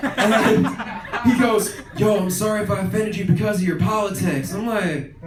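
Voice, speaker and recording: A high-pitched man with an American accent talks at a fairly quick pace with ordinary pitch variation, amid noticeable background noise and audible room echo. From Philadelphia suburbs, US. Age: 20s. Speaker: stand-up comedian. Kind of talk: stand-up.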